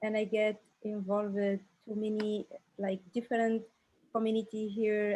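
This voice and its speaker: A woman with an Arabic accent and fairly high pitch speaks at a moderate pace in a monotone, flat intonation. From Algeria. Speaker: re-entry university student. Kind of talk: panel introduction. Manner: halting.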